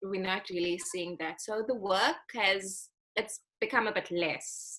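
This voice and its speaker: Her tone bright and sharp, a woman speaks at a medium pitch and a fairly slow pace with ordinary pitch variation. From South Africa, Western Cape West Coast (Atlantis). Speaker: actress. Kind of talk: casual interview chat.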